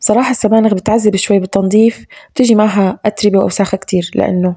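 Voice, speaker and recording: A woman speaks at a fairly quick pace in a medium, somewhat breathy voice with a dark, mellow tone, flat monotone intonation and very even loudness, recorded dry and close with no echo. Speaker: home cooking vlogger. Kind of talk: voiceover narration of cooking routine.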